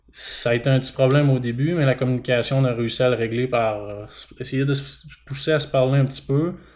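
A man speaks in an ordinary speaking voice at a medium pitch. His intonation is fairly even and his pace fairly quick. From Quebec, Bas-Saint-Laurent (Témiscouata). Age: 20s. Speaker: dairy farmer. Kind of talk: casual interview.

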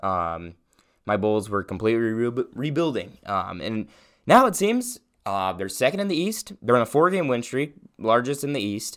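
This man talks at a moderate pace with a medium pitch. His pitch swings very widely. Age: young. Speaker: sports podcast host. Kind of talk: casual solo sports commentary. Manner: halting, many fillers.

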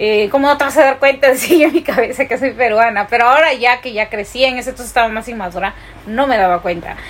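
Over noticeable background noise, a woman talks at a very fast pace in a high pitch. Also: ordinary pitch variation. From Peru. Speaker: podcast co-host. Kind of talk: casual chat.

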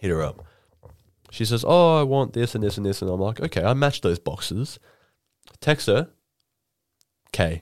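Speaking at a moderate pace with an Australian accent, a man with a medium-pitched voice makes very wide pitch swings and takes long, frequent pauses, all in a very clean recording with a silent background. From Queensland, Australia (Rockhampton). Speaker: podcast host. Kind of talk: casual chat.

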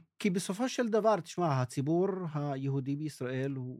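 A man speaks with an Arabic accent in a dark, mellow tone. His pace is fairly slow and his intonation is lively. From northern Israel, Druze village. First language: Arabic (speaking Hebrew). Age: 60s. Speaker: journalist and documentary maker. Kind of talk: interview testimony.

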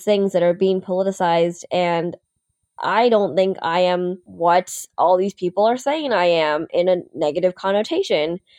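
A woman's plain, everyday voice with an American accent, medium in pitch with ordinary pitch variation, in a dry, close sound with no echo. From upstate New York. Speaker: TV news anchor. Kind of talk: casual interview.

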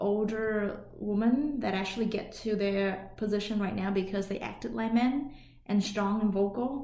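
A woman speaks with a Vietnamese accent at a fairly high pitch, using ordinary pitch variation. Audible room echo and noticeable background noise surround her voice. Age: 30s. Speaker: podcast co-host. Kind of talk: casual chat. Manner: hesitant, many fillers.

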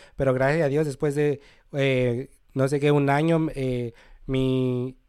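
A man with a plain, everyday voice and a fairly high pitch speaks with fairly even intonation in a very clean recording with a silent background. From Mexico, Cholula, Puebla. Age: 20s. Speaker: immigrant sharing life story. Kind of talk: podcast interview, personal story. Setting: studio.

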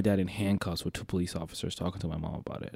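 Very fast speech from a man with an American accent, dark and mellow in tone. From Detroit, Michigan. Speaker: podcast co-host, videographer. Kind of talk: casual chat.

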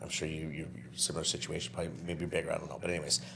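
This man's voice sits at a very deep, low pitch. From New Brunswick, Canada. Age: 30s. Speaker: property management business owner. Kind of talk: casual interview.

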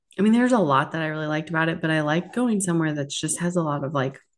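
An unremarkable speaking voice with ordinary pitch variation. The background is quiet. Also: woman. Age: 40s. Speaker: podcast co-host. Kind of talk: casual chat.

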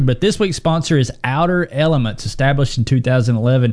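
He talks rather quickly. This man uses a normal speaking voice, pitched in the middle range. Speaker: ministry founder. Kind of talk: casual podcast conversation.

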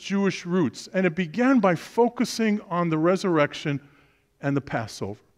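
In a very clean recording with a silent background and a dry, close sound with no echo, a man with a New York accent speaks at a moderate pace with lively intonation. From Brooklyn, New York. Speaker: preacher. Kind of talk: sermon.

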